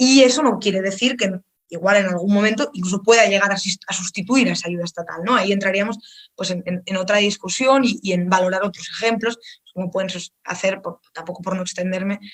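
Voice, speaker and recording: Her pace is fairly quick. The woman speaks with a Spanish accent. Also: medium pitch for a woman, ordinary pitch variation. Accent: Peninsular Spanish. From Spain. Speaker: think tank speaker. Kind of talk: online lecture. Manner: fast; halting, many repetitions.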